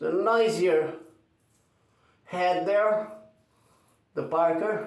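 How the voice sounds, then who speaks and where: Against audible room echo, a man with a non-native accent speaks very slowly with fairly even intonation. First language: not English. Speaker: shaving video creator. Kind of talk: tutorial. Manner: halting.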